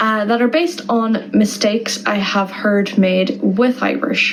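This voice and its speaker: There is noticeable background noise and audible room echo as a woman speaks in a fairly high voice with ordinary pitch variation. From Ireland, Donegal. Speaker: Irish language tutor. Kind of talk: tutorial. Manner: slow, deliberate repetition of words.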